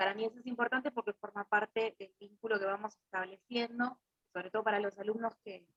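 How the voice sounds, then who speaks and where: A woman's fairly high, monotone, flat voice at a moderate pace, dry and close with no echo, over music in the background. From Argentina, Buenos Aires west (Coronado). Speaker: Bach flower therapist and teacher. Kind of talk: webinar presentation.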